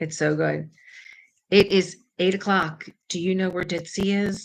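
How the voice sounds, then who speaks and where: In an American accent, a woman speaks at a medium pitch with vocal fry. Her intonation is monotone and flat, her pace fairly slow. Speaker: crafting livestream host. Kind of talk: casual livestream chat. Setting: home kitchen.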